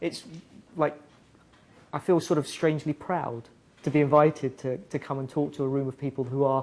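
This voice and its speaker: In an English accent, a man speaks at a fairly quick pace with monotone, flat intonation and long, frequent pauses, in a very clean recording with a silent background. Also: fairly high pitch for a man. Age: 30s. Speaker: music partnerships director at a tech company. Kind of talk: guest talk to students.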